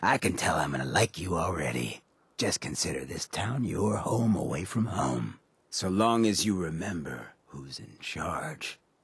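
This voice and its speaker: A man uses a put-on character voice with a very deep, low pitch, speaking at a moderate pace. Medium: video game. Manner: laid-back, smooth.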